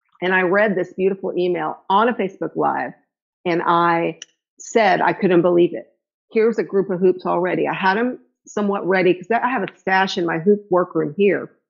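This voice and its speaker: Against a quiet background, a woman with a normal speaking voice talks at a fairly quick pace and a medium pitch. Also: fairly even intonation. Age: 60s. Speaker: hula hoop fitness instructor. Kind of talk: interview. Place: home room. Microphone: phone near.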